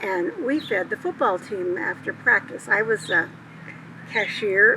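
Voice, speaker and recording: A woman talks at a moderate pace in an American accent. There is noticeable background noise. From Montana, US. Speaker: elderly woman telling life story. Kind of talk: personal life story talk. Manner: halting, with fillers.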